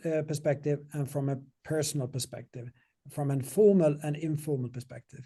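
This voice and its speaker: With a dark, mellow tone, a man sounds somewhat breathy, speaking at a moderate pace in a fairly high pitch with ordinary pitch variation. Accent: non-native. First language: not English. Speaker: software company CEO. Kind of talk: interview Q&A. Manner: halting.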